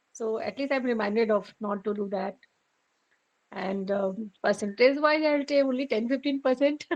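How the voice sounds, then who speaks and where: Speaking at a moderate pace with an Indian accent, a woman uses a fairly high pitch and ordinary pitch variation. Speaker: meditation group participant. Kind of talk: sharing in group. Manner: halting.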